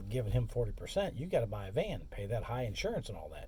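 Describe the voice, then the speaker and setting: A man talks very fast, and room echo is audible. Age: 60s. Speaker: courier and expedite driver, vlogger. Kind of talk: casual monologue vlog. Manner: casual, conversational.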